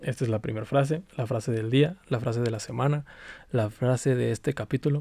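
A man speaks at a fairly quick pace in a medium pitch, somewhat breathy, with ordinary pitch variation. The recording is very clean, its background silent. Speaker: podcast host. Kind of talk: casual monologue. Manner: halting.

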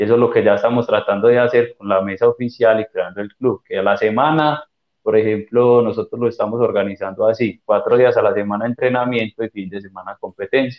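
Talking at a very fast pace, a man with a medium pitch keeps his intonation fairly even while his loudness swings widely. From Colombia, Chocó. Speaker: teqball player and coach. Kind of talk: casual interview.

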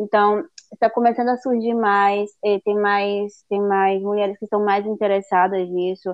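A woman's medium-pitched voice, flat and monotone, at a fairly slow pace. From Northeast Brazil, Fortaleza. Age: 30s. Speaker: au pair. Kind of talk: interview. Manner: halting.

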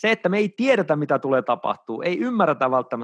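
A man's ordinary speaking voice at a fairly quick pace, with lively intonation, a dry, close sound with no echo, and a quiet background. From Finland, Oulu. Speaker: dating coach and dance teacher. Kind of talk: casual interview.

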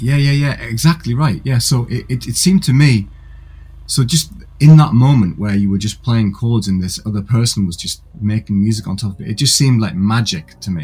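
A man with lively intonation, a somewhat breathy voice, and a fairly quick pace. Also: medium pitch for a man. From northern England, Gateshead. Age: 40s. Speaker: musician. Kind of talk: interview. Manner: halting, with repeated words.

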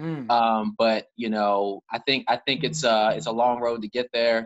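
A plain, everyday voice, this man speaks with an American accent at a medium pitch. His pace is moderate, with ordinary pitch variation. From Baltimore County, Maryland. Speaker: community group founder. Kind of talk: casual interview. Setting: video call.

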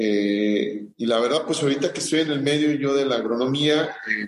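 Over noticeable background noise, a man speaks at a moderate pace with medium pitch and ordinary pitch variation. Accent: central Mexican. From central Mexico (Morelos/Michoacán). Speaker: agronomist and agricultural business owner. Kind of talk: interview, personal story. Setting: podcast interview. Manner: halting, many fillers and repetitions.

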